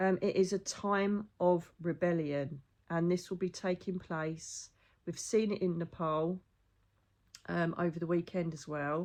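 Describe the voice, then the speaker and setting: With an English accent, a woman of fairly low pitch speaks at a fairly slow pace and with fairly even intonation over a quiet background. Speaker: psychic medium. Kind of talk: casual monologue.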